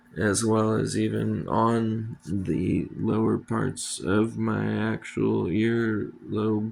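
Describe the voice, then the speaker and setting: Very deep and low, a man's voice moves at a very slow pace with very wide pitch swings amid noticeable background noise. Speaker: first-time YouTuber giving DIY skincare tips. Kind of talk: casual talk to camera. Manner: hesitant, many fillers.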